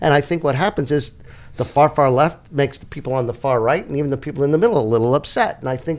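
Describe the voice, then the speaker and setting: With a New York accent, a man talks at a very fast pace, his fairly high pitch showing ordinary variation. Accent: New York accent, noticeable. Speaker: political talk show co-host. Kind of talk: casual political chat.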